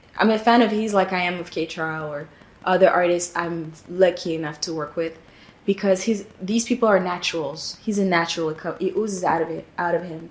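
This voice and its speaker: At a fairly quick pace, a woman with a non-native accent speaks in a fairly low pitch and fairly even intonation. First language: not English. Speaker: singer-songwriter. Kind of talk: casual interview-style recollection. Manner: relaxed, with frequent fillers and repetitions.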